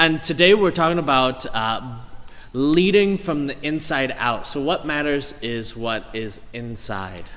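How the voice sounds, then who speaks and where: Audible room echo and noticeable background noise around a man at a fairly high pitch, with lively intonation and a very slow pace. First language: English (speaking Indonesian). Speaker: pastor. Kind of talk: sermon. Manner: halting.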